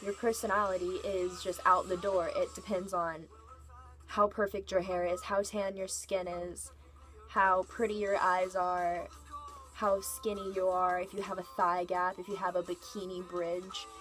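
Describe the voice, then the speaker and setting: Fairly even intonation at a moderate pace, with music in the background. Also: woman. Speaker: vlogger. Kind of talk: casual vlog rant.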